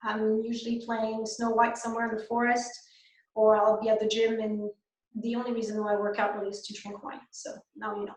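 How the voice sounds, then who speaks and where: In a room with audible echo, a woman with a French Canadian accent speaks at a fairly quick pace with a fairly high pitch. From Quebec. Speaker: dentist. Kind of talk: webinar lecture. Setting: online webinar. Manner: hesitant, many fillers.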